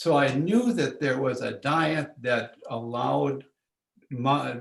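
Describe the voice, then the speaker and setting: A man speaks at a fairly high pitch with vocal fry. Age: 80s+. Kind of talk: interview. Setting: in person, came in to the office. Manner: halting, many restarts.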